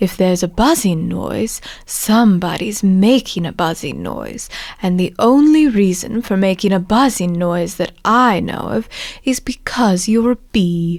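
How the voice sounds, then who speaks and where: At a moderate pace, a woman uses a growling, put-on character voice at medium pitch. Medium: read story. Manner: slow, thoughtful.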